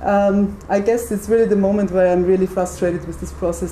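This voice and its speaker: Amid audible room echo and noticeable background noise, a woman speaks at a fairly quick pace. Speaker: architect. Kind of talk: lecture. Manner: fast.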